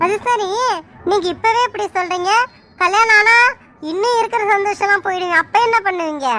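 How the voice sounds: This female-sounding voice is a cartoonish character voice at an extremely high pitch. It moves at a moderate pace.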